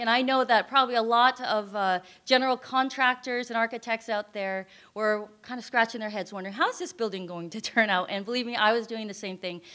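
A woman with an American accent speaks at a fairly quick pace and a fairly high pitch. The background is quiet. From US West Coast (Northern California). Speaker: nonprofit ministry founder and singer; presenter. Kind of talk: presentation to audience. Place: hall. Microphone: podium.

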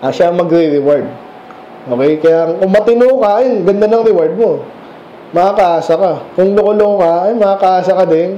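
In a room with audible echo and light background noise, a man with a high-pitched voice talks at a moderate pace in an animated tone, keeping very even loudness and ordinary pitch variation. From Philippines. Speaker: preacher. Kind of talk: sermon, verse-by-verse Bible teaching. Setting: church. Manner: conversational, explains and asks rhetorical questions; animated, mixes Tagalog and English. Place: church. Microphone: camera far.

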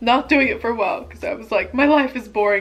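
Faint music plays in the background as a woman talks at a fairly quick pace with ordinary pitch variation. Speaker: vlogger. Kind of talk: casual vlog chat while eating. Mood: relaxed, candid. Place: home room. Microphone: camera far.

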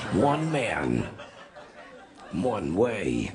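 Doing a put-on character voice, a man sounds raspy at a fairly low pitch, with audible echo behind him. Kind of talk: movie trailer narrator. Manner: gravelly dramatic.

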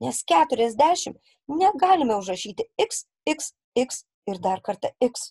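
Her pitch high and swinging very widely, a woman speaks at a fairly slow pace with a dark, mellow tone in a dry, close sound with no echo. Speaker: primary school teacher. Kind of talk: recorded lesson for children. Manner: slow and clear, instructive.

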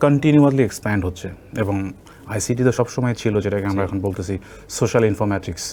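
A man with a plain, everyday voice talks at a fairly low pitch with ordinary pitch variation. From Bangladesh, Nilphamari (northern). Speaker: university professor. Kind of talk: interview. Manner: heavy Bengali-English code-switching.

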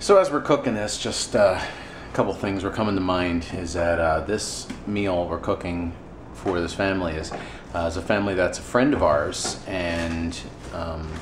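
Noticeable background noise sits under a voice moving at a moderate pace with ordinary pitch variation. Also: man, very deep, low pitch for a man. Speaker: ministry volunteer vlogger. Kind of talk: casual vlog chat. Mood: somber, reflective. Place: kitchen. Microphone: phone near.

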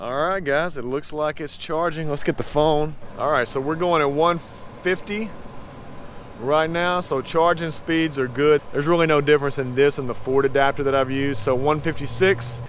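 Moderate pace and fairly even intonation, with noticeable background noise. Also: man, fairly high pitch for a man. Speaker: car reviewer. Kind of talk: product review video. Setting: in a car on a road trip. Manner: casual, conversational.

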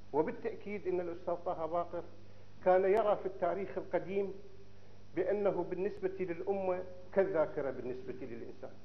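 A man's high voice at a moderate pace. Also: ordinary pitch variation. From Iraq. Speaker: archaeologist and scholar of ancient Iraq; lecturer. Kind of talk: lecture. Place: hall. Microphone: podium.

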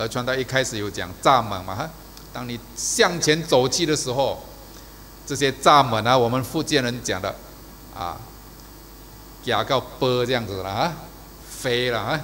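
Over light background noise, a man talks at a fairly slow pace with long, frequent pauses and ordinary pitch variation. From Malaysia. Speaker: preacher. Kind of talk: sermon. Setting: church service video. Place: church. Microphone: podium.

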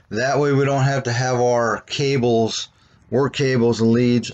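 The man delivers his words at a fairly slow pace. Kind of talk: casual walkaround tour. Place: street. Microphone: phone near.

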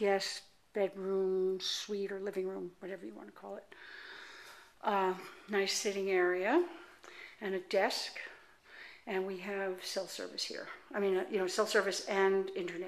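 A woman talks at a moderate pace in a flat monotone. She leaves long, frequent pauses. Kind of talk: casual house tour narration. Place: home room. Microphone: phone near.

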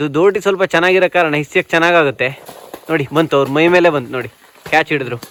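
In a normal speaking voice, a man talks at a fairly high pitch, the sound dry and close with no echo. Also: ordinary pitch variation. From Karnataka, Uttara Kannada district (Siddapur). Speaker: village vlogger. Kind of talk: vlog narration and interview. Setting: outdoors in areca plantation.

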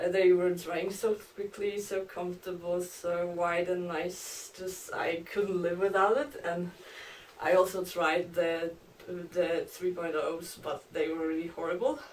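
A woman with a Polish accent, very slow pace, and fairly even intonation. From Poland. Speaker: long-distance hiker. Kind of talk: gear review tutorial. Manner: halting. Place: home room. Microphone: camera far.

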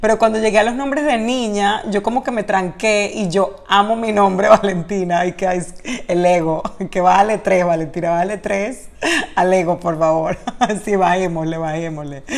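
The speaker has an animated tone, ordinary pitch variation and a moderate pace. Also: woman. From Latin America. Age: 30s. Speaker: actress and YouTuber; actress, YouTuber. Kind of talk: casual Q&A vlog. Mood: cheerful, laughing. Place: home room. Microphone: webcam.

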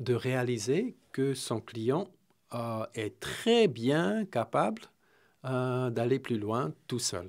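A man's very slow, lively-toned speech with long, frequent pauses against a quiet background. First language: not Romanian; speaks French here (speaking Romanian). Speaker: executive coach; interview guest. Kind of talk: interview via interpreter; interview answer. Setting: radio studio. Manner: hesitant, many fillers. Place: studio. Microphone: studio mic.

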